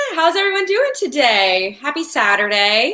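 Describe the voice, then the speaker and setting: A raised, projected voice in an American accent, bright and sharp in tone, with very wide pitch swings. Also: woman. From Florida. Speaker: singer dancer and hair tutorial host. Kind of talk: live-stream hair tutorial. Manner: casual, filler-heavy.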